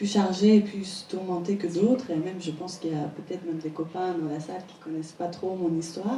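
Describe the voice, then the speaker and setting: A woman speaks at a fairly quick pace with hardly any pauses, her medium-pitched voice fairly even in intonation but swinging widely in loudness, over noticeable background noise. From Iran, Tehran. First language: Persian (speaking French). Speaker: painter. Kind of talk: interview before an audience. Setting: stage with audience.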